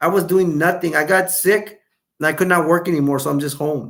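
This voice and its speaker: The tone is bright and sharp. It is also animated. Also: man. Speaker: YouTube live streamer. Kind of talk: casual live-stream chat.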